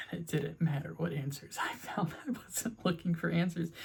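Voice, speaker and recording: This man's high voice keeps a fairly even intonation. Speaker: video essayist. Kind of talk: personal video essay. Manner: stuttering.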